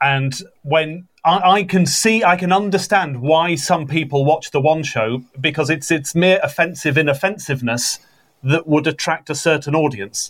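An ordinary speaking voice from a man, fairly high in pitch, with ordinary pitch variation and very even loudness. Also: moderate pace. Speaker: podcast guest. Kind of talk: casual comedy chat.

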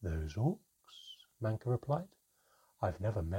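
Against a quiet background comes an unforced reading voice.

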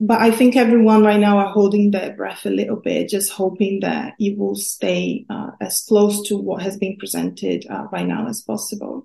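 A woman with a Portuguese accent speaks at a moderate pace with hardly any pauses. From Brazil. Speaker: student researcher.

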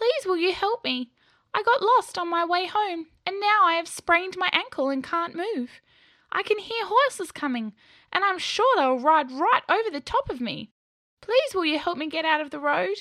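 A woman puts on a gravelly character voice at extremely high pitch, speaking at a moderate pace. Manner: pleading.

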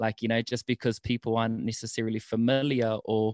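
In a dry, close sound with no echo and a quiet background, a man speaks at a moderate pace in a medium pitch. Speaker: food truck owner and podcaster. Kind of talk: casual interview.

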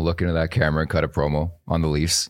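In a Canadian accent, a man talks with a very deep, low pitch on a very clean recording with a silent background. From Canada. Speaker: podcast co-host. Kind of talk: casual chat. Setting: live studio at event. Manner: excitable.

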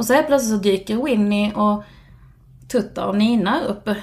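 A woman speaks at a moderate pace with ordinary pitch variation. Her voice is fairly high and somewhat breathy. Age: 40s. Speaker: podcast guest. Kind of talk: casual chat. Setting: recording at the host's home.

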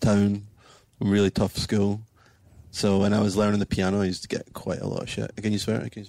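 A man with a Scottish accent talks at a fairly quick pace in a fairly low pitch. His intonation is monotone and flat, with big swings in loudness. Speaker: musician in a band. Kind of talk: interview conversation.

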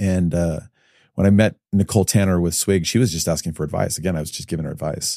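A speaker with an American accent talks at a fairly quick pace, with ordinary pitch variation and a dark, mellow tone. The sound is dry and close, with no echo. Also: man, very clean recording, silent background. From US Midwest, Chicago area. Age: 40s. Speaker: entrepreneur, investor. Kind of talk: casual interview.

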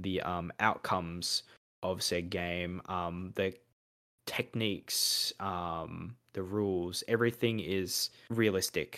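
On a very clean recording with a silent background, a man with a very deep, low voice talks at a very slow pace in an Australian accent, his intonation fairly even. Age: 20s. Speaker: podcast co-host. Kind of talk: casual chat.

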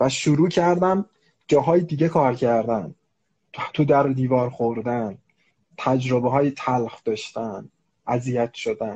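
A man speaks at a fairly slow pace in a medium-pitched, somewhat breathy voice with a dark, mellow tone, leaving long, frequent pauses against a quiet background. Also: ordinary pitch variation. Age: 30s. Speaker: HR manager and coach. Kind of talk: casual chat.

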